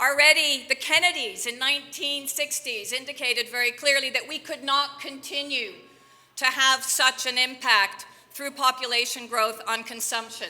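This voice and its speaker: Projecting a raised voice, a woman with an American accent talks at a moderate pace, her high pitch showing ordinary variation. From Belgium. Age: 50s. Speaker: president of a think tank, keynote speaker. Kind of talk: keynote speech. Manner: animated.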